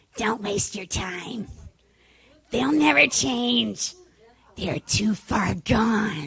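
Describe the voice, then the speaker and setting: In a raspy, put-on character voice of medium pitch, a female-sounding speaker talks very slowly with long, frequent pauses. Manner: tempting, discouraging.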